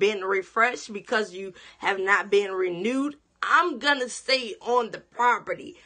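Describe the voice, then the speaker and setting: Against a quiet background, a woman speaks at a fairly slow pace in a bright, sharp tone. Her fairly high voice carries lively intonation. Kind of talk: sermon-style teaching broadcast. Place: home room. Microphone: phone near.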